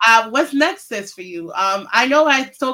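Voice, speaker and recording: Raising and projecting her voice, a woman speaks at a high pitch with a bright, sharp tone and lively intonation. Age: 40s. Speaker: podcast host. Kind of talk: casual interview.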